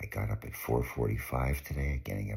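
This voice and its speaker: A man whispers in a Canadian accent, somewhat breathy. His pace is moderate. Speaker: pilgrimage vlogger. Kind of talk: casual video diary. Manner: whispering.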